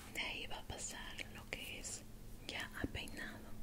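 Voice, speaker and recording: A soft-spoken woman talks against loud background noise. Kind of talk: role-play consultation with a client. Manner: soft, hushed ASMR role-play voice. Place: home room. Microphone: lapel.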